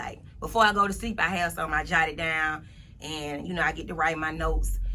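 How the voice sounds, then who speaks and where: Delivered at a very fast pace, the voice has a bright, sharp tone with vocal fry. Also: woman. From US South. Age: 30s. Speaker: motivational speaker. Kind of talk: interview. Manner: casual.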